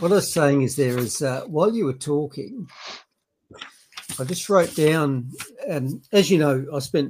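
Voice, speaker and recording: With an Australian accent, a man speaks at a fairly slow pace, using a fairly high pitch with ordinary pitch variation and long, frequent pauses. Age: 60s. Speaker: retired doctor and commentator. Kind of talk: casual chat. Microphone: laptop microphone, not great.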